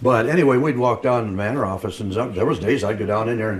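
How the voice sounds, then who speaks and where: A man with an American accent talks at a very fast pace in a fairly low voice with ordinary pitch variation, with audible room echo and noticeable background noise. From US Midwest. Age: 80s+. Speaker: retired newspaper printer. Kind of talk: oral history interview. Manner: casual, halting with repeats.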